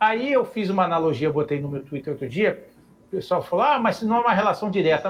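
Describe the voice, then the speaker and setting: Here a man speaks at a high pitch with very wide pitch swings. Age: 50s. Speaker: architect, club council member. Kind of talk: online debate show.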